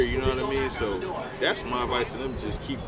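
A man's voice sounds dry, with no echo, amid loud background noise. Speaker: guest. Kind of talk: interview answer. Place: street.

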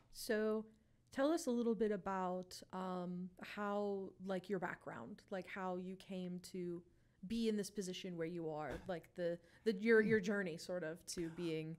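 A woman with an American accent and an unremarkable speaking voice talks at medium pitch and a fairly slow pace. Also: ordinary pitch variation. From western Pennsylvania. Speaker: student social media intern. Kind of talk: interview. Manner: giggly.

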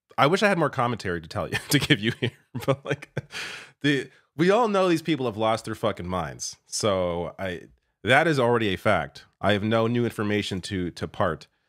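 A man's voice at a moderate pace, with very wide pitch swings and a quiet background. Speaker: political commentator. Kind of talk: commentary. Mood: scornful, incredulous.

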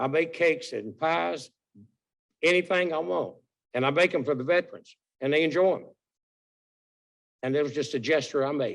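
Speaking at a moderate pace with long, frequent pauses, a man in a Southern US accent has a fairly high pitch and ordinary pitch variation over a quiet background. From North Carolina. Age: 80s+. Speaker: military veteran, public commenter. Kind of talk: public comment at county meeting. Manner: halting.

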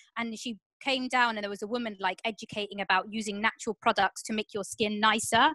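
Speaking very fast with a bright, sharp tone, a woman with a fairly high voice and a southern English accent keeps her intonation fairly even, the sound dry with no echo and the background quiet. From southern England, Portsmouth; southern England. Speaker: comedian, panelist. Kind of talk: online panel discussion. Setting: video call. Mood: reflective, conversational. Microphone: video call.

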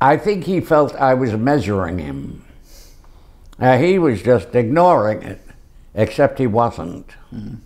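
A man speaks at a fairly slow pace with very wide pitch swings, big swings in loudness, and long, frequent pauses against a quiet background. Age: 80s+. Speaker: actor. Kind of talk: interview answer. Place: home room. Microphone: lapel.

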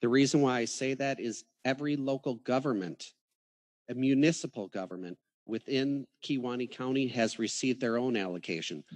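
With ordinary pitch variation, a man talks at a fairly quick pace, the background quiet. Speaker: county official. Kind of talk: public meeting discussion. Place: hall.

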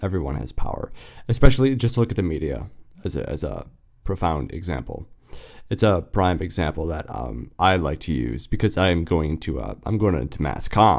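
Vocal fry runs through a man's very deep, low voice. He talks at a moderate pace with very wide pitch swings. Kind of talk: podcast monologue. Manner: casual, reflective.

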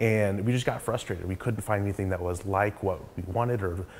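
Light background noise sits behind a man with an American accent, whose fairly low pitch shows ordinary pitch variation at a moderate pace. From Oklahoma (Yukon). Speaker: tech startup co-founder. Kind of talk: interview monologue. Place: office.

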